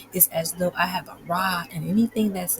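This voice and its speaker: Quietly and at a moderate pace, a woman talks in a fairly low pitch over noticeable background noise. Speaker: podcast host and life coach. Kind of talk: casual guided reflection monologue. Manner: speaking quietly.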